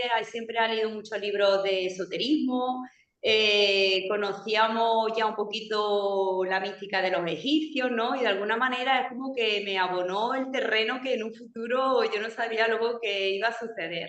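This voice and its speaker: A woman speaks in an Andalusian accent at a fairly high pitch. Audible room echo is present. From Andalusia, Spain. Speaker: radio show collaborator. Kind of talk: radio talk show conversation.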